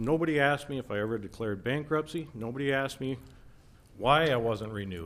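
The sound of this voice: At a moderate pace, a man talks at medium pitch with a fairly bright tone. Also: ordinary pitch variation.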